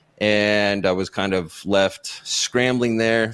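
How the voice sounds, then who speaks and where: There is fairly even intonation in this man's speech. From California (San Diego). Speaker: mindset and performance coach. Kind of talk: interview.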